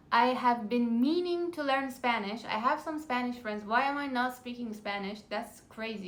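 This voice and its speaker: A woman's high-pitched voice with an Iranian accent, ordinary pitch variation and a moderate pace, in audible room echo. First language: Farsi. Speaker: language-learning vlogger. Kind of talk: casual vlog talk; reading out topic list in French. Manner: halting with fillers.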